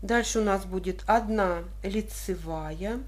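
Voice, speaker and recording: Room echo is audible around the voice. A woman talks very slowly. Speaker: knitting tutorial host. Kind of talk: tutorial.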